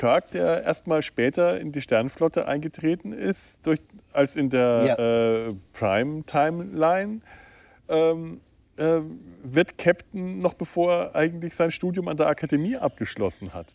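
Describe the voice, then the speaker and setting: A fairly high male voice, lively in intonation and very slow in pace, dry and close with no echo on a very clean recording with a silent background. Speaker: podcast host. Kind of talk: casual chat. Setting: outdoors on a riverside meadow. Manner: halting, many fillers and repeats.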